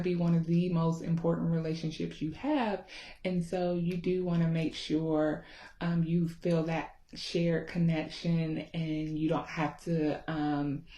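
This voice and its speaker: In a Southern US accent, a woman speaks fairly slowly with monotone, flat intonation and a fairly low, somewhat breathy voice of dark, mellow tone. Room echo is audible. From US South, Georgia. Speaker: therapist. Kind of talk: casual talk to camera. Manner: informal with many filler ums.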